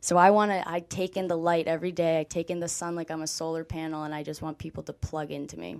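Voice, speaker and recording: With an American accent, a woman with fairly low pitch speaks at a very fast pace with big swings in loudness. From Boston area. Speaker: former college athlete. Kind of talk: interview. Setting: studio. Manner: animated.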